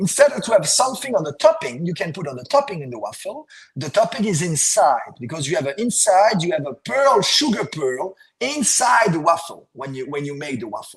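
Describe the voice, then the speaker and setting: The speaker has a French accent. The pitch swings very widely. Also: man. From Belgium, French-speaking south. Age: 40s. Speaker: podcast guest, Belgian fan. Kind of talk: casual chat. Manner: halting; animated.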